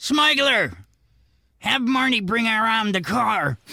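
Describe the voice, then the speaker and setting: Raising and projecting his voice, a man does a put-on character voice at an extremely high pitch and a fairly slow pace. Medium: audio drama. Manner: smug, teasing.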